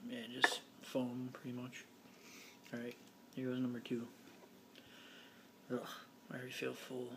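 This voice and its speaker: A quiet man's voice, monotone and flat, at a moderate pace with long, frequent pauses amid noticeable background noise. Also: medium pitch for a man. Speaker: vlogger. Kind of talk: casual vlog. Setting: home living room.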